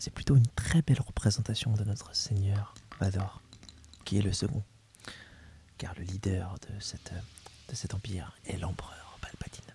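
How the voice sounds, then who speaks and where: Long, frequent pauses and big swings in loudness from a fairly low-pitched man at a moderate pace, with ordinary pitch variation and noticeable background noise. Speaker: ASMR creator. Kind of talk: ASMR role play as an instructor presenting a topic. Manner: soft-spoken, whispered.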